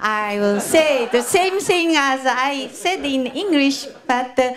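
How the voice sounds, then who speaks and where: In a Japanese accent, a woman speaks very slowly at a high pitch against noticeable background noise. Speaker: gala organizer. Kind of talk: formal speech.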